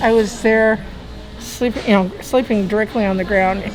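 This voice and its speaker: A woman's fairly high voice at a moderate pace, with music in the background. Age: 60s. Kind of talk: casual chat. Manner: animated.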